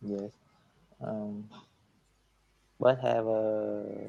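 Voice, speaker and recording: A man speaks at a very slow pace. He has a Vietnamese accent. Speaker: English learner. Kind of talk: casual conversation practice. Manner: halting.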